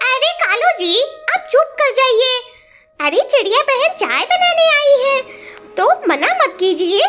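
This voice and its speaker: A woman's cartoonish character voice at an extremely high pitch, fairly slow, with faint music in the background. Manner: sly, bossy.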